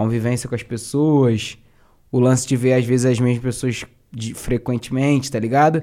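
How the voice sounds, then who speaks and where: Here a man talks at a fairly quick pace with a Rio de Janeiro accent. His pitch sits in the medium range. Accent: carioca. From Duque de Caxias, Baixada Fluminense, Rio de Janeiro. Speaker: rapper and battle MC. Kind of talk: casual chat.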